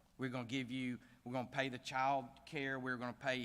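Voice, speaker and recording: A man talks at a fairly quick pace with a Southern US accent. His tone is bright and sharp. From US South. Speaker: bank CEO, gala speaker. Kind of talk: speech at gala. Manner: casual, hesitant with fillers.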